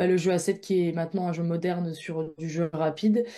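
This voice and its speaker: A woman's fairly low pitch in a dark, mellow tone, monotone and flat, at a moderate pace. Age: 20s. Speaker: professional handball player. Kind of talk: recorded interview. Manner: hesitant, many fillers.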